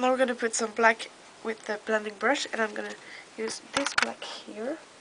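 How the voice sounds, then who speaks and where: Noticeable background noise sits behind a woman with a fairly high pitch. She talks at a moderate pace in a monotone, flat intonation. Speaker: beauty vlogger. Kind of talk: makeup tutorial talk to camera. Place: home room. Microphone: webcam.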